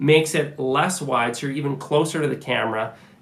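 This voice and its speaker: Speech comes at a fairly quick pace amid audible room echo and noticeable background noise. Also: man. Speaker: camera gear YouTuber. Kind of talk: tutorial. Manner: casual, conversational with fillers.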